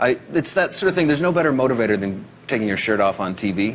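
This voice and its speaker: A man with a Canadian accent, lively intonation and a fairly quick pace, over noticeable background noise. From Canada. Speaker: actor. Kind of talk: TV talk show interview. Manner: casual, with fillers.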